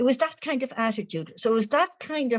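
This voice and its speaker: A woman speaks in an Irish accent. Her pitch varies in an ordinary way. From Ireland. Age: 70s. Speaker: spiritual author. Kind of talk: interview. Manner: cheerful.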